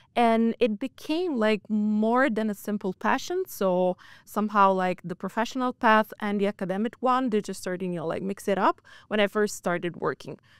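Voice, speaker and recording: A woman speaks with an Italian accent at a fairly high pitch, with ordinary pitch variation and a moderate pace. The sound is dry and close with no echo, in a very clean recording with a silent background. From Italy. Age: 20s. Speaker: financial crime analyst. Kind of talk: interview. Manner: hesitant, lots of fillers.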